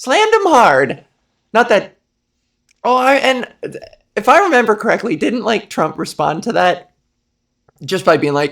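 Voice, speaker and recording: A woman's fairly high voice with vocal fry, fairly slow pace, very wide pitch swings and long, frequent pauses. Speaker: comedian, podcast host. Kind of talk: casual comedic podcast talk.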